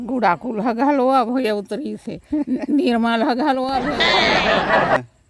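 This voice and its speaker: A woman speaks in a high voice with lively intonation while crowd noise carries on in the background. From Chhattisgarh. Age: old. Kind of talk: interview answer.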